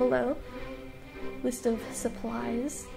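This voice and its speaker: A woman speaks with music in the background. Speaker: artist. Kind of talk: casual voice-over for art time lapse.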